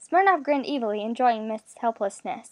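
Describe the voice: Plain reading aloud with lively intonation is heard over a quiet background.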